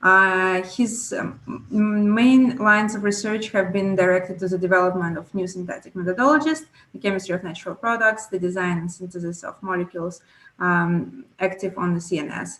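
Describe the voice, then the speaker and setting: Talking at a fairly quick pace with an Italian accent, a woman with a medium pitch shows ordinary pitch variation and big swings in loudness. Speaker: panel moderator. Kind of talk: moderated panel introduction. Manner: halting with fillers.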